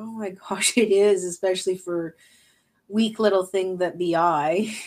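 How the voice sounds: A woman speaks at a fairly slow pace with fairly even intonation. Her pitch is medium and her tone slightly mellow.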